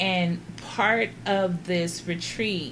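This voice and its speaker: A woman's fairly low voice with an American accent, at a very slow pace, with audible room echo. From Los Angeles, California. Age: 40s. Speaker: guest. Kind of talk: casual chat.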